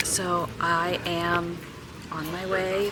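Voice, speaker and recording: Quiet speech with audible room echo and noticeable background noise. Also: woman. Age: 30s. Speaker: vlogger. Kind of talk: casual vlog talk to camera. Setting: airport. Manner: quiet, talking low.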